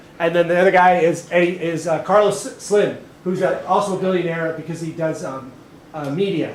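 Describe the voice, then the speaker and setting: A man with an American accent speaks at a high pitch with fairly even intonation. Audible room echo surrounds his voice. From Southern California. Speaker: art professor. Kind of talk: artist talk lecture. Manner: fast; casual, conversational.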